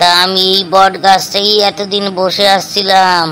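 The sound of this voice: A cartoonish character voice sits at a middle pitch with monotone, flat intonation. Clear background noise runs underneath. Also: moderate pace.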